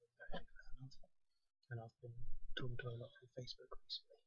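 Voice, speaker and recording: A soft-spoken man is talking. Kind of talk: casual talk to camera.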